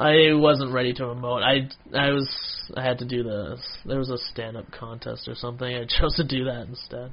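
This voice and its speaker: Noticeable background noise sits behind a man with a medium pitch who speaks at a fairly quick pace with fairly even intonation. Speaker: stand-up comedian. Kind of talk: casual chat.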